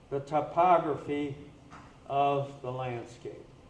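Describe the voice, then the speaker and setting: A man talks at a very slow pace with lively intonation. Noticeable background noise and audible room echo fill the recording. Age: 80s+. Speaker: scientist presenting at a conference. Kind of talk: conference presentation.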